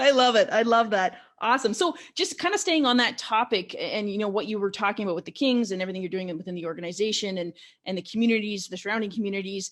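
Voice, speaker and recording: In a Canadian accent, a woman talks at a very fast pace. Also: fairly high pitch for a woman, ordinary pitch variation. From Canada, Ontario (small town south of Ottawa). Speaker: podcast host. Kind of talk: interview. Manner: halting.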